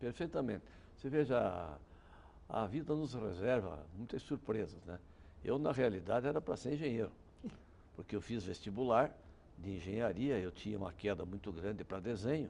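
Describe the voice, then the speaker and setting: Lively intonation runs through a man's fairly low, dark, mellow voice. His pace is moderate, with long, frequent pauses. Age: 70s. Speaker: criminal defense lawyer. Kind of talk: interview.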